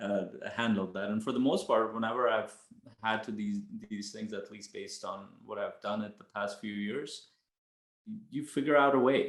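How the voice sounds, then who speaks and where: A man with a non-native accent at a medium pitch, fairly even intonation and big swings in loudness, at a moderate pace with long, frequent pauses. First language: not English. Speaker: coach, podcast co-host. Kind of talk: casual chat.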